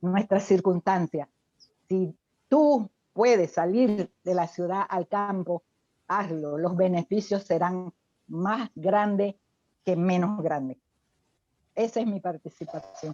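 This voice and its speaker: With long, frequent pauses, a woman speaks very slowly in a medium pitch, recorded dry and close with no echo. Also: ordinary pitch variation. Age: 70s. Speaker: retired professional, lay church member. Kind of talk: group study discussion comment. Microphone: unstable internet connection.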